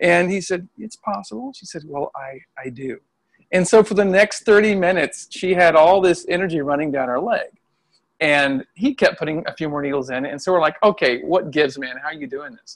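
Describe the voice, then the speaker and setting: A man's high-pitched voice in an American accent, fairly quick, with lively intonation and big swings in loudness. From US Midwest. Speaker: Chinese medicine practitioner and qigong healer. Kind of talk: casual interview. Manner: animated.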